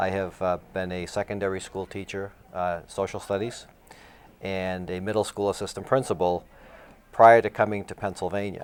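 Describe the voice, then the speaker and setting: At a moderate pace, the speaker talks with monotone, flat intonation. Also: man, very deep, low pitch for a man. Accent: Massachusetts. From Massachusetts. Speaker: assistant high school principal. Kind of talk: interview.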